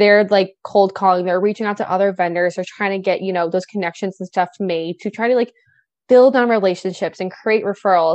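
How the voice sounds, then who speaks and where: A woman with an American accent talks fairly quickly at medium pitch with fairly even intonation. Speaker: event and wedding planner. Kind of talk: casual interview chat.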